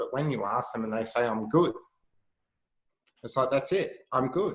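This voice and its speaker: A man with an Australian accent. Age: 30s. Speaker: health entrepreneur. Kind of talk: casual chat.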